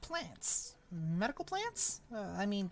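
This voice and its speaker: A female-sounding, put-on character voice talks at a very slow pace. Background noise is clearly heard. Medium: actual play. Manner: helpful, eager.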